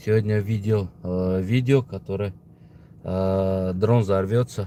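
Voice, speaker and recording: Very slow in pace, a man with a Tajikistan accent talks at a fairly low pitch in a dark, mellow tone. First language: Tajik (speaking Russian). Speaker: political video blogger. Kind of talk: casual opinion monologue. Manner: halting, many fillers.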